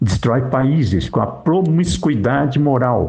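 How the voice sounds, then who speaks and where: A man speaks at a very slow pace with vocal fry. His pitch sits in the medium range. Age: 60s. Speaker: lay preacher. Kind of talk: religious monologue. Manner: emphatic.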